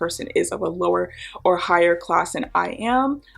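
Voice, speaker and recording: With an American accent, the speaker talks at a moderate pace over noticeable background noise. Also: woman. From United States. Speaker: product designer and vlogger. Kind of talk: casual book reflection vlog. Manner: conversational, with fillers.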